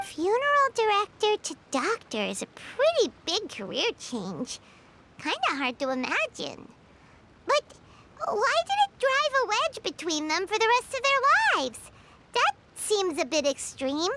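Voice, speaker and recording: A woman does a squeaky, put-on character voice at an extremely high pitch with very wide pitch swings. She keeps a moderate pace, and the sound is dry and close with no echo. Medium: video game. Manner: calm, curious.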